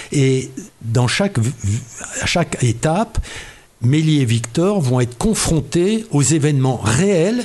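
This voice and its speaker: Against noticeable background noise, a man talks very slowly in a fairly high voice with very wide pitch swings. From Oise, northern France. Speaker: retired engineer and novelist. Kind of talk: interview.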